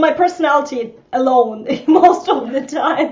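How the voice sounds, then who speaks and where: With a slight Eastern European accent, a woman talks with ordinary pitch variation over noticeable background noise. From Estonia. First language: Russian. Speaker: social media coach. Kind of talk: casual chat. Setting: live video broadcast.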